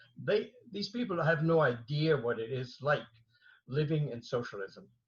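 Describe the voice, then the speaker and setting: A man with a German accent speaks in a somewhat breathy voice with lively intonation. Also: fairly high pitch for a man, moderate pace. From Germany. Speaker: martial arts master. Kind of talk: interview. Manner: halting, many fillers and repetitions.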